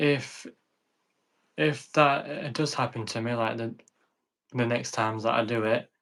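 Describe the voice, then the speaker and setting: A man in a Yorkshire accent talks at medium pitch and a fairly slow pace with ordinary pitch variation. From northern England, Sheffield. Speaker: content creator who stutters. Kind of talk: interview.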